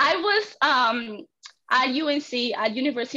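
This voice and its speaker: A woman with a Spanish accent, in a bright, sharp tone at a fairly slow pace, against a quiet background. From Argentina. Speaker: clinical research intern. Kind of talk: interview.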